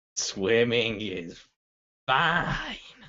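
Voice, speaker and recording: A raspy, put-on character voice delivers its lines with lively intonation. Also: man, medium pitch for a man. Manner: odd, spaced out.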